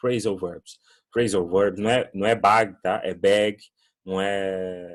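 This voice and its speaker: A fairly low-pitched male voice with fairly even intonation. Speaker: English teacher. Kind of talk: online class. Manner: casual, hesitant.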